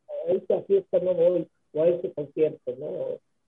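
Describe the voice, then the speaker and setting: Here a man talks with a Mexican accent. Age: 70s. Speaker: rock drummer and band founder. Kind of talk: radio interview.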